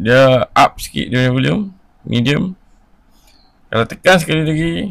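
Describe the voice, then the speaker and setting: This man talks at a moderate pace with lively intonation and a fairly high pitch. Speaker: tech gadget vlogger. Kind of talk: product review. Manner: casual, conversational.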